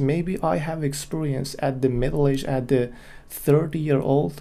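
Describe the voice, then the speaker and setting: Using a non-native accent, a man speaks at a fairly slow pace with a fairly high pitch and ordinary pitch variation. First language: not English. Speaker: graphic designer and solo podcaster. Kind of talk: solo monologue, opinion. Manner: halting.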